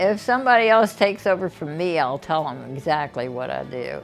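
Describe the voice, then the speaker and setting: A woman with an American accent, with music in the background. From US South. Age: 90s. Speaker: community volunteer. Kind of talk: casual interview. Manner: halting.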